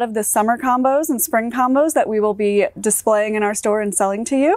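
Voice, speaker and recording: A woman is speaking against a quiet background. The sound is dry, with no echo. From North Carolina. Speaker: greenhouse supervisor. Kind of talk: informal staff introduction video. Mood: friendly, warm. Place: shop. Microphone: lapel.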